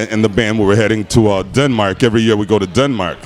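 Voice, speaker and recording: A man with an American accent and ordinary pitch variation, music in the background. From Chicago. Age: 60s. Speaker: blues guitarist. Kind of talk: casual interview chat.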